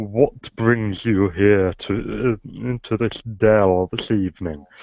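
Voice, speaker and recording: A man speaks in a booming, put-on character voice, fairly low in pitch and at a fairly slow pace. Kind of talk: archaic, formal.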